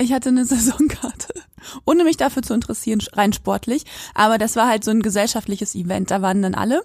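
Somewhat breathy, the voice races at a very fast pace with ordinary pitch variation. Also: woman, fairly high pitch for a woman. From Quakenbrück, Lower Saxony, northern Germany. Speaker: podcast co-host. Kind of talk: casual chat. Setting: remote call.

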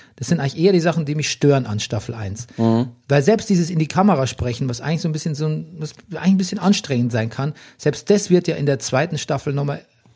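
Very fast and somewhat breathy, a man speaks at a fairly high pitch with lively intonation and a dark, mellow tone. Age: 40s. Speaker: podcast host. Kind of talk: casual chat. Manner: animated.

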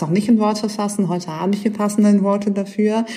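A woman's voice with audible room echo. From western Germany, Düsseldorf. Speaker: activist and author. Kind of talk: interview. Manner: hesitant with many fillers.

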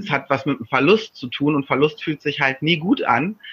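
At a moderate pace, a man talks in a fairly high voice with a bright, sharp tone and ordinary pitch variation. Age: 30s. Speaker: coach and author. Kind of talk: casual chat.

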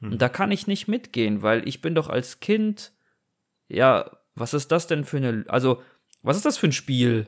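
Pausing long and often, a man with a fairly high voice talks at a fairly slow pace with very wide pitch swings. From Germany. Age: 30s. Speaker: podcast host. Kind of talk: casual chat. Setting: remote recording.

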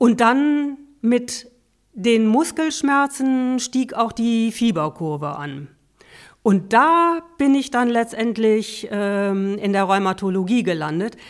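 A woman speaks very slowly at a fairly high pitch. Her pitch swings very widely. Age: 50s. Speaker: patient and volunteer peer counselor. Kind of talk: interview, personal testimony.

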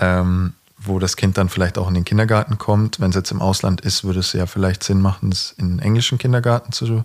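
Dry and close with no echo, a man's fairly low-pitched voice moves at a moderate pace with ordinary pitch variation and very even loudness. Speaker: professional footballer, podcast co-host. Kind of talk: casual chat.

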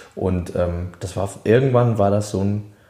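A man with a somewhat breathy, dark, mellow tone, at a very slow pace. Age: 20s. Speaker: singer. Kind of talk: casual chat.

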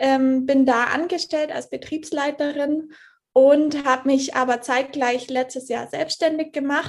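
In a high voice, a woman speaks fairly slowly with fairly even intonation. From Germany, Allgäu (Bavarian Swabia). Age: 20s. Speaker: coaching client. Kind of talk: interview testimony.

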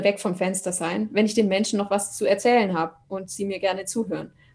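This woman talks fairly quickly. There is some breathiness in her voice. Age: 30s. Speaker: opera singer. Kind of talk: interview.

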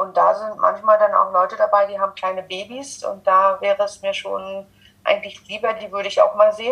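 With big swings in loudness, a woman talks at a fairly quick pace against noticeable background noise. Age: 30s. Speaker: social worker. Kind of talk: interview.

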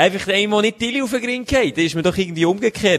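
A man is speaking. He talks with a Swiss accent. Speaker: podcast co-host. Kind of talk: casual chat. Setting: home studio on a sofa.

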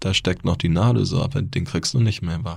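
Somewhat breathy, a man with a very deep, low pitch speaks with lively intonation. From Bavaria (Neu-Ulm). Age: 30s. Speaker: author and formerly homeless person. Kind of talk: interview testimony.

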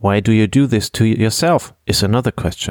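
Speaking fairly quickly with a German accent, a man uses a fairly low pitch with ordinary variation, in a dry, close sound with no echo. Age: 30s. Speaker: podcast host and finance blogger. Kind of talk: scripted monologue.

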